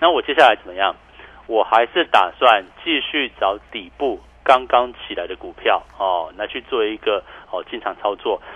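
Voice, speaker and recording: Big swings in loudness mark this man's speech, which moves at a moderate pace. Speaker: stock market analyst. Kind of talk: radio market commentary. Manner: animated, laughing often.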